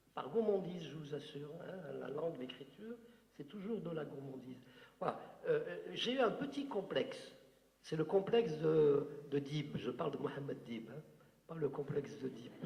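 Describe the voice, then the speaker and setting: Over noticeable background noise and audible room echo, a man talks with lively intonation, long, frequent pauses and big swings in loudness. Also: fairly high pitch for a man, moderate pace. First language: Algerian Arabic (speaking French). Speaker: writer. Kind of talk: Q&A talk at a literary conference. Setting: conference with audience. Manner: hesitant, many fillers.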